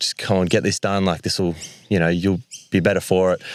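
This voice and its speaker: The speaker has an Australian accent and moves at a fairly quick pace in a monotone, flat delivery. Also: man. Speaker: community group founder. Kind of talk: panel conversation on stage. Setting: live event stage with audience. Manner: loud.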